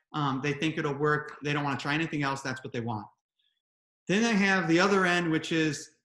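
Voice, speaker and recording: A man talks at a fairly quick pace in a fairly high voice with ordinary pitch variation. His tone is bright and sharp. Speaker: presenter on smoking cessation medicine. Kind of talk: webinar presentation.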